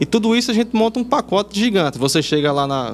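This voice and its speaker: At a fairly quick pace, a man talks in an ordinary speaking voice with ordinary pitch variation. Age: 20s. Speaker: video producer. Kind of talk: interview.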